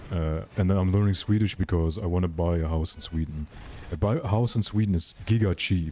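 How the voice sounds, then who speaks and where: The voice has a German accent and a dark, mellow tone. It moves at a fairly quick pace with ordinary pitch variation. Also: man, very deep, low pitch for a man. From Germany. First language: Russian. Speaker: gaming streamer. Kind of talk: live stream chat. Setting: live stream. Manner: casual, animated.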